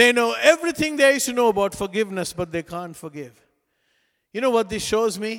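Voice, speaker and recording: A man speaks with a Sri Lankan accent. His pitch swings very widely. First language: non-English (Sri Lankan language). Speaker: pastor. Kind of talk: sermon. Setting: church.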